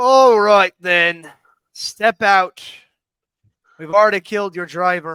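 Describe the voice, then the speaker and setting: A gruff, put-on character voice speaks at a middle pitch and a fairly slow pace. Long pauses come often. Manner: menacing.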